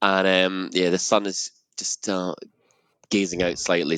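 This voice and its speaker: A man's very deep, low voice with a Scottish accent. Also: dry, close sound with no echo. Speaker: podcast guest correspondent. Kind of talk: casual chat.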